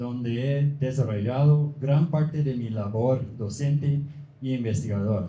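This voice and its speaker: A man with a non-native accent talks at a fairly slow pace, medium in pitch with ordinary pitch variation. His somewhat breathy voice has a dark, mellow tone and audible room echo. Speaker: professor. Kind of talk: lecture. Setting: book fair conference. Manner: halting.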